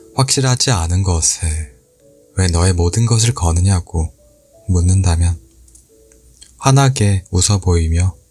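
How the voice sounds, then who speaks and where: Music plays behind a man with a very deep, low voice. His tone is calm and gentle, and he speaks at a very slow pace. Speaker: audiobook reader / ASMR channel host. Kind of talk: book reading, ASMR-style essay narration. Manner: soft, calm, gentle.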